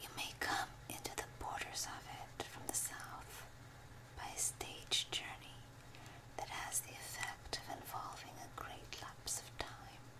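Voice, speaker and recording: A whispered voice. It moves at a fairly slow pace. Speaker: ASMR reader. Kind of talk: binaural ASMR audiobook reading. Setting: binaural recording with page turning. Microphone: studio mic.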